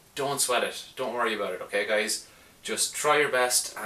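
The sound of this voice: Heard here is an unforced reading voice whose pitch varies in an ordinary way.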